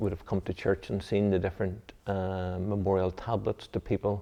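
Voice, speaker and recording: A man speaks in a Mid-Ulster accent at a fairly low pitch. His pace is moderate and his intonation fairly even. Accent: Mid-Ulster Northern Irish. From Northern Ireland, County Tyrone. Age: 60s. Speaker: Presbyterian minister. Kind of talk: interview. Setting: church. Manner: halting, many fillers.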